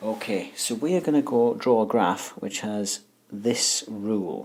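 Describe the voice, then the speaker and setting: A soft-spoken voice at a very slow pace. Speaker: maths teacher. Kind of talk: tutorial.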